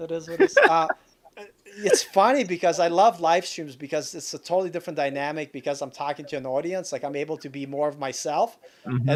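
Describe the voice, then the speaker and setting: Noticeable background noise sits behind a man speaking at a fairly quick pace and fairly high pitch, with ordinary pitch variation and big swings in loudness. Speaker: YouTube streamer, channel host.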